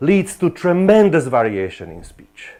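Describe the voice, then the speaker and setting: A man with a Slovak accent speaks in a dark, mellow tone with vocal fry and very wide pitch swings. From Slovakia. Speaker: professor. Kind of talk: lecture. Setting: lecture hall with students. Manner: animated.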